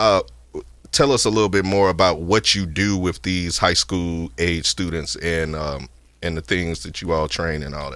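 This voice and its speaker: The speaker has a Louisiana accent, a moderate pace, and ordinary pitch variation, with big swings in loudness. The recording is very clean, and the background is silent. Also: man, very deep, low pitch for a man. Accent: Southern US (Louisiana). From northern Louisiana, US South. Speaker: podcast host. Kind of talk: podcast interview. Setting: studio.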